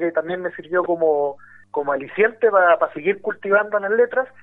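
This man's voice sits high in pitch. It varies in an ordinary way. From Chile, Valparaíso region. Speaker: writer. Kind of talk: radio interview. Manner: halting, many repetitions and fillers.

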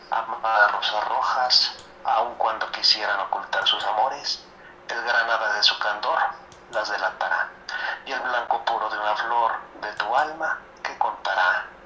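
Audible room echo and noticeable background noise surround a man speaking at a fairly slow pace. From Guanajuato, central Mexico. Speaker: amateur poet, industrial mechanic. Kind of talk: interview; poetry reading.

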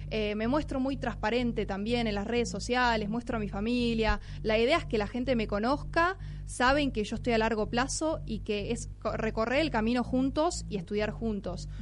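A woman with a Rioplatense accent talks at a moderate pace in a fairly high pitch with ordinary pitch variation, and audible room echo surrounds her voice. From Buenos Aires, Argentina. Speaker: blockchain educator. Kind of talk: radio interview.

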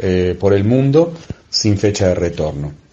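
This man talks with a fairly low pitch and an Argentine accent. His pace is moderate and his pitch variation ordinary. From Argentina. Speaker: travelling magician, former systems engineer. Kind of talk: recorded monologue.

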